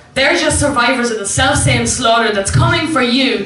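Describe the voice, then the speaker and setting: A woman with an Irish accent and a fairly high pitch, against noticeable background noise. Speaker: poet and singer. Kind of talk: live spoken word poetry performance. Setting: live venue.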